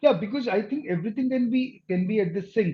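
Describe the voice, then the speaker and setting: At a fairly quick pace, a man with a dark, mellow tone speaks with ordinary pitch variation. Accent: Indian. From India. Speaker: accent and dialect coach. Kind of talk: interview conversation.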